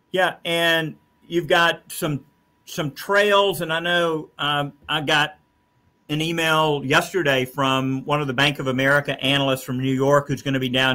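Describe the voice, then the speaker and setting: This man has a plain, everyday voice, talking at a moderate pace with fairly even intonation. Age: 60s. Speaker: talk show host and state commissioner. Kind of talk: casual interview chat. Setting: office.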